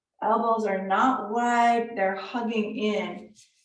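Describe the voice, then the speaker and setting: In a room with audible echo, a woman with a fairly high voice speaks at a very slow pace with fairly even intonation. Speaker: yoga teacher. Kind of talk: live yoga class instruction. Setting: live online class.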